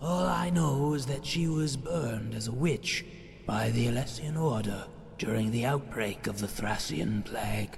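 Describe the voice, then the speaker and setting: A medium-pitched male put-on character voice over clear background noise. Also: moderate pace. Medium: machinima. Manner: calm, explanatory.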